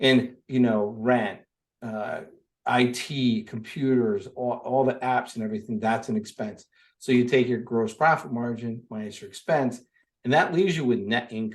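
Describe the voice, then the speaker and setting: A man with an unremarkable speaking voice talks at a moderate pace in a medium pitch. His pitch varies in an ordinary way, and the background is quiet. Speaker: lawn care business owner and business coach. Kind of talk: interview.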